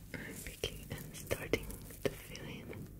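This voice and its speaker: The voice is soft-spoken, whispering at a fairly slow pace. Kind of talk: tutorial narration. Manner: soft ASMR whisper.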